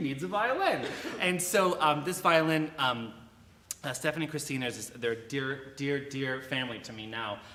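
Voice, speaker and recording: A man's lively intonation carries at a moderate pace, with audible room echo and noticeable background noise around him. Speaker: violin soloist. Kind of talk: speech to a concert audience. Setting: church concert stage with audience. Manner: halting, many fillers. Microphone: no microphone, later declined.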